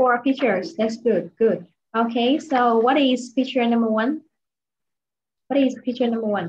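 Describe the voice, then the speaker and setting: Speaking in a high voice at a very even loudness, a woman leaves long, frequent pauses over light background noise. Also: ordinary pitch variation, moderate pace. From Vietnam. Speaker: English teacher. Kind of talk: online English lesson. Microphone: webcam.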